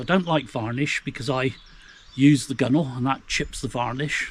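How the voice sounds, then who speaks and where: A man talks with ordinary pitch variation while noticeable background noise plays behind him. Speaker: canoeing instructor. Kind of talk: tutorial. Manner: casual, relaxed.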